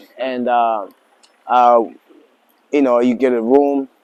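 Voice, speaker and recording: A man's medium-pitched voice, monotone and flat. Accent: American. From Tanzania (Mwanza), then US Central Coast from age fifteen. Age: 40s. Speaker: lodge owner. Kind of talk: interview. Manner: halting, many fillers.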